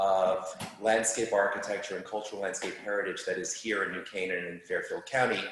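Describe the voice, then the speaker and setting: A man with a New York accent speaks amid audible room echo. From New York City. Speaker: landscape architect. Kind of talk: lecture. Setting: live talk with audience, also streamed on Zoom.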